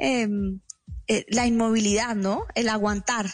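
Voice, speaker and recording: Moderately paced speech from a woman, backed by music. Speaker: speaker and writer. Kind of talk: radio interview.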